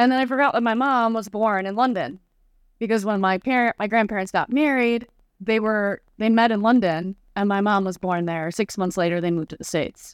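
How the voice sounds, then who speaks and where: In an ordinary speaking voice, a woman with an American accent talks at a fairly quick pace and a fairly high pitch, with ordinary pitch variation. The sound is dry and close with no echo, in a very clean recording with a silent background. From Chicago, US. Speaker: travel business owner, tour guide.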